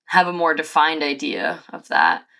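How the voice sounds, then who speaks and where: The woman's voice is bright and sharp, with vocal fry. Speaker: podcaster and influencer assistant. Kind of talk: casual chat. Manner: casual, many fillers.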